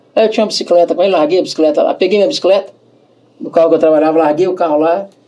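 A man speaks with a high pitch. Noticeable background noise sits behind him. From Brazil. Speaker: radio host and salesman. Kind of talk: casual interview chat. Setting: studio with camera. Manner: animated.

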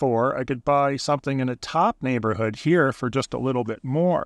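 Over a quiet background, a man speaks in an Ontario accent at a moderate pace. His pitch varies in an ordinary way, and the sound is dry and close with no echo. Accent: Canadian (Ontario). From Southern Ontario, Canada. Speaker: real estate agent and podcast host. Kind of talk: casual interview chat. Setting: in a parked truck on the waterfront.

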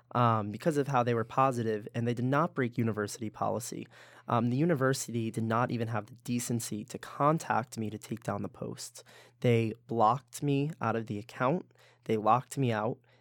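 A man speaks with a plain, everyday voice at medium pitch, fairly quick and with fairly even intonation, on a very clean recording with a silent background. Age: 20s. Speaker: university student leader. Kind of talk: casual interview.

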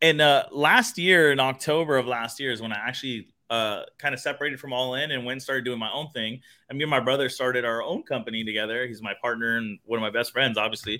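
A man with an American accent talks at a very fast pace in a medium pitch. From Phoenix, Arizona. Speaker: sales consultant and entrepreneur. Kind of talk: casual interview. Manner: animated.

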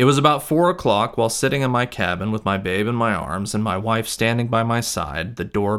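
On a very clean recording with a silent background, a man with a fairly low pitch speaks at a moderate pace in a dramatic, solemn tone with lively intonation. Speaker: podcast host and graduate student. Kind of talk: history narration. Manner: measured, solemn storytelling pace; formal, dramatic reading of a historical account.

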